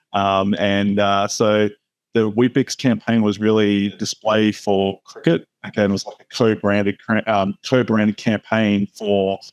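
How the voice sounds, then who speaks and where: Dry and close with no echo, a man's fairly low voice moves at a fairly slow pace in a monotone, flat intonation. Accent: Australian. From Australia. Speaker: retail media executive. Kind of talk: interview. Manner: many fillers, hesitant.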